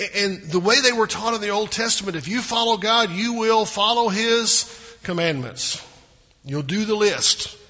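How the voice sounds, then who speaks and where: A man speaks in a high, raised and projected voice with a Southern US accent, at a moderate pace with ordinary pitch variation. Noticeable background noise and audible room echo surround him. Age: 50s. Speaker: pastor. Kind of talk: sermon.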